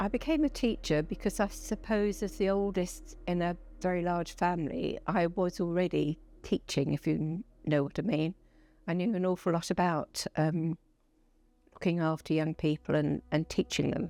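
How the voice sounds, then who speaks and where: A woman with a southern English accent speaks at a moderate pace. The recording is very clean with a silent background, and her loudness stays very even. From Essex, England. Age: 70s. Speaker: police and crime commissioner. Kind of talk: interview.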